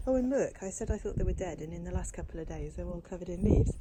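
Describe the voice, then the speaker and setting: A woman speaks quietly and very fast in a British accent. Noticeable background noise and audible room echo fill the recording. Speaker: crochet vlogger. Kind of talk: casual vlog walkthrough. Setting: outdoors in garden. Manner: talking quietly.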